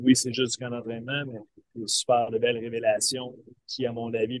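At a moderate pace, a man speaks in a medium pitch with a dry, close sound and no echo. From Quebec, Eastern Townships (Waterville). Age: 40s. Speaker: baseball coach. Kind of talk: interview. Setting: video call from a bus.

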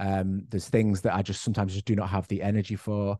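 A man with a northwest English accent speaks fairly quickly in a dark, mellow tone, pitched fairly low with monotone, flat intonation. The sound is dry and close with no echo, and the background is quiet. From northwest England, Cheshire. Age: 30s. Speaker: person living with MS. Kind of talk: casual chat.

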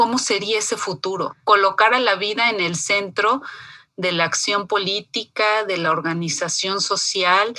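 A woman with an ordinary speaking voice talks at a fairly slow pace and a medium pitch. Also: ordinary pitch variation. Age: 40s. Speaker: feminist foundation staff. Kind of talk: interview.

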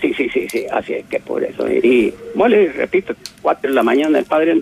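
The pace is moderate, and the sound is dry and close with no echo. Noticeable background noise runs underneath. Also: man. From El Salvador. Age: 70s. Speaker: caller. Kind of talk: testimony.

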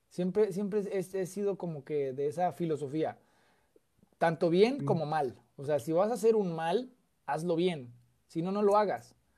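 With a Mexican accent, a man speaks at a fairly slow pace in a high-pitched voice with a dark, mellow tone, ordinary pitch variation, and long, frequent pauses. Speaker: political content creator. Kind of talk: casual chat.

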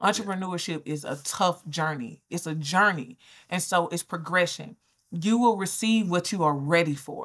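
A woman with an American accent talks at a moderate pace in an unremarkable speaking voice. Her pitch is fairly low, with ordinary pitch variation. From Georgia, US South (Albany). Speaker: business coach and brand strategist. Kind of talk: interview conversation. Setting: remote call.

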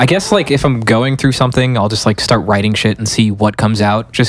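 Medium in pitch, a man uses a normal speaking voice with fairly even intonation, recorded very cleanly against a silent background. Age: 20s. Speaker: musician, band frontman. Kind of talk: casual chat. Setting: studio.

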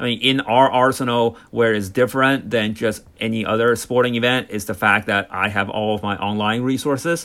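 A man with an American accent, medium pitch and a bright, sharp tone, moderate pace and fairly even intonation, on a very clean recording with a silent background. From US, California Bay Area. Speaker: sports media executive. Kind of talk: interview. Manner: hesitant, many fillers.

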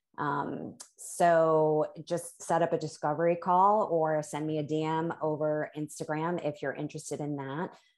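A woman's very deep, low voice, fairly slow and monotone with flat intonation. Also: quiet background. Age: 50s. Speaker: life coach. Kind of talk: casual interview chat.

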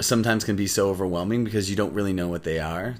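A man with a Canadian accent has an ordinary speaking voice, a fairly low pitch and ordinary pitch variation. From Canada, Windsor, Ontario. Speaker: actor. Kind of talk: casual interview.

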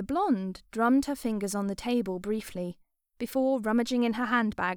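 A natural voice reading out loud, its pitch shifting in a usual way, over a quiet background.

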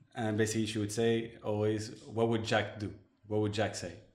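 Audible room echo surrounds a man talking at a fairly quick pace in a fairly low voice. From Morocco, then Montreal as a teenager. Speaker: digital agency owner. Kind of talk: interview. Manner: hesitant, many fillers.

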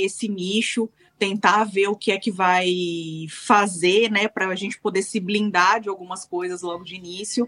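This woman has an ordinary speaking voice at medium pitch, with fairly even intonation. She speaks at a fairly slow pace, and the sound is dry and close with no echo. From Brazil. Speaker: web TV team member. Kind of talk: casual chat.

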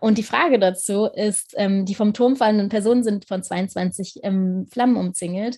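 A woman speaks at a moderate pace in a medium-pitched, somewhat breathy voice with a dark, mellow tone. Her intonation stays fairly even. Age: 20s. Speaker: podcast host, tarot reader. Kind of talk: interview.

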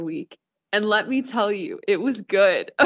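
A woman speaks in an ordinary speaking voice with an American accent. Her pitch is medium and her pace moderate. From Dayton, Ohio. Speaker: dietetics student. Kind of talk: casual chat.

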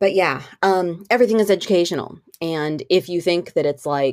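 An ordinary speaking voice from a woman, fairly low in pitch with lively intonation and a moderate pace, on a very clean recording with a silent background. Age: 40s. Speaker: unschooling parent and vlogger. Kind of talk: casual monologue. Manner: casual with frequent fillers.

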